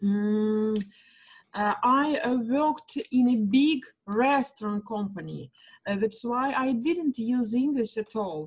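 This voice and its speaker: A woman with a Russian accent speaks very slowly at a fairly high pitch, with ordinary pitch variation. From Russia, small town between Moscow and Saint Petersburg. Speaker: kindergarten English teacher, student. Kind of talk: language lesson conversation. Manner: halting, many fillers.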